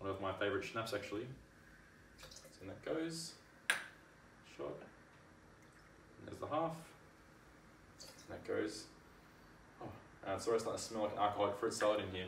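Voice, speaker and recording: A man with a fairly low voice speaks with lively intonation and big swings in loudness, leaving long, frequent pauses. The room echoes audibly, and light background noise is present. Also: moderate pace. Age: 20s. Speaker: home cocktail maker. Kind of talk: casual cooking tutorial to camera. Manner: slight stutter. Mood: cheerful, relaxed. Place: kitchen. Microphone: camera far.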